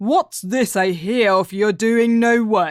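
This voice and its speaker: In a put-on character voice that sounds female, the speaker talks at a very slow pace with a fairly high pitch. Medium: read story. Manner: calm, wry.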